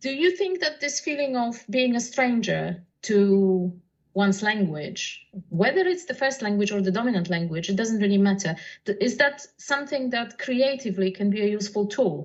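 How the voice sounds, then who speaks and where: Somewhat breathy and fairly high in pitch, a woman with a Polish accent speaks at a moderate pace with lively intonation. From Poland. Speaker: poet and translator. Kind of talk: casual chat.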